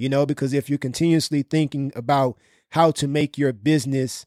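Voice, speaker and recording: In a very clean, dry, close recording with no echo and a silent background, a man speaks at fairly high pitch with fairly even intonation. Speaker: podcast host. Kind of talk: casual business podcast discussion. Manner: casual, conversational.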